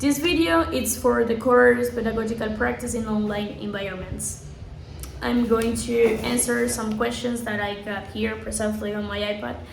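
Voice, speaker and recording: In a Spanish accent, a woman at medium pitch talks at a moderate pace with very wide pitch swings, over noticeable background noise and audible room echo. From Colombia, Santa Marta. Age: 20s. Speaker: English teacher. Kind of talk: self-introduction video for a course.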